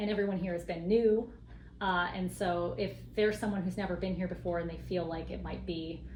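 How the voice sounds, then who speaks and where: This woman's voice is medium in pitch and fairly even in intonation. She talks at a fairly quick pace, with audible room echo. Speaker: co-op advocate. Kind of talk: casual interview.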